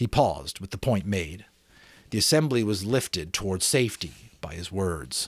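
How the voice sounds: Here a man speaks at a low pitch with a slightly husky edge. He goes at a fairly slow pace with big pitch swings.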